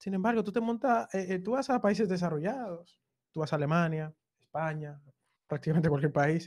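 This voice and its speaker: High-pitched male speech with lively intonation at a moderate pace, in a very clean recording over a silent background. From Dominican Republic (Cibao). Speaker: web developer and content creator. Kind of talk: casual chat.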